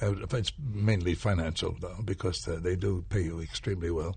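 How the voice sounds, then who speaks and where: A man with a very deep, low pitch, somewhat breathy, at a moderate pace with ordinary pitch variation. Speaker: stage actor. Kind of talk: casual chat.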